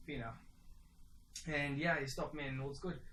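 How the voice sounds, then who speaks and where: A bright, sharp tone with audible room echo. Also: man. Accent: South African. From South Africa. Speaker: semi-professional cricketer. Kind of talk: personal reflection monologue. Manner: casual, conversational.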